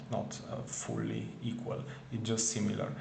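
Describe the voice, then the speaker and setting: At a fairly slow pace, a man with a medium pitch speaks amid audible room echo and noticeable background noise. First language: not English. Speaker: spiritual video creator. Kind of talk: casual monologue. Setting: at home in front of camera. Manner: halting, many fillers and repetitions.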